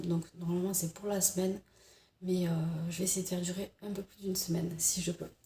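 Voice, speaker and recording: A woman's medium-pitched voice in a monotone, flat intonation, over noticeable background noise. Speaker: vlogger. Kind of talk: casual chat. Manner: soft-spoken; hesitant.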